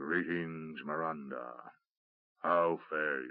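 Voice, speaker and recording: A rumbling put-on character voice from a man, very deep and low in pitch, at a very slow pace. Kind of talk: formal, archaic.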